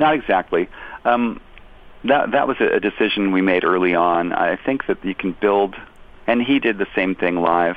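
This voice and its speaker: With an unremarkable speaking voice, a man of fairly low pitch talks at a moderate pace, keeping very even loudness and ordinary pitch variation. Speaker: tribute musician and former touring guitarist. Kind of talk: casual interview. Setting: phone call. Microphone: phone line.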